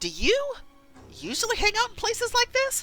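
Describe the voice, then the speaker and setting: A woman does a put-on character voice, squeaky and extremely high in pitch. She keeps a moderate pace and fairly even intonation over faint background music. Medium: game stream. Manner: wry, curious.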